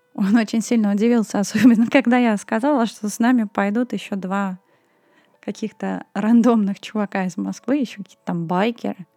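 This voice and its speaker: This woman has a fairly high pitch and a dark, mellow tone. She talks at a moderate pace with fairly even intonation and big swings in loudness, in a dry, close sound with no echo. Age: 20s. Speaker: podcast host. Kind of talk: solo storytelling podcast.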